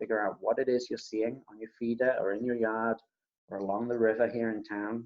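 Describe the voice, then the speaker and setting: A quiet, medium-pitched male voice at a fairly quick pace. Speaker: birding workshop facilitator. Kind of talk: online presentation. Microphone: laptop mic at max, too quiet.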